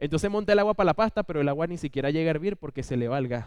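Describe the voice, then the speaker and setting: A man with a Venezuelan accent speaks very fast, his pitch fairly high with ordinary variation. The background is quiet. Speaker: lay preacher. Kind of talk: sermon.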